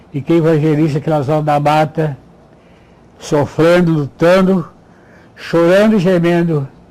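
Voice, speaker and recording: Pausing long and often, a man with a fairly high pitch keeps his loudness very even and his intonation fairly even against noticeable background noise. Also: fairly slow pace. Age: 80s+. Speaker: retired pastor. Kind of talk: testimony.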